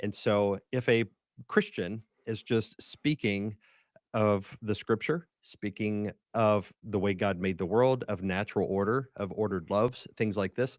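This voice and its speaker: A man with an American accent has a plain, everyday voice at a fairly low pitch, speaking at a fairly slow pace with fairly even intonation, the sound dry and close with no echo in a very clean recording with a silent background. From West Virginia (Huntington, Appalachia). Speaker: pastor and writer. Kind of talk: podcast interview.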